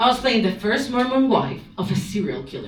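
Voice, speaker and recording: A woman with a Spanish accent talks at a moderate pace. The recording has audible room echo and noticeable background noise. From Spain. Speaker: stand-up comedian. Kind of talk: stand-up. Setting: stage with audience.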